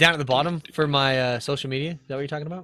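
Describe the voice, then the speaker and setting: With music in the background, a man talks at a very fast pace. His pitch is fairly high. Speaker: podcast host and streamer. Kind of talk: casual chat.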